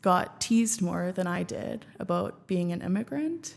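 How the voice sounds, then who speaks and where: In a normal speaking voice, a woman speaks at a fairly slow pace and a medium pitch. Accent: Canadian. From Canada (Regina, Saskatchewan). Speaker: former student union president and app co-creator. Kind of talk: podcast interview. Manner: casual, filler-heavy.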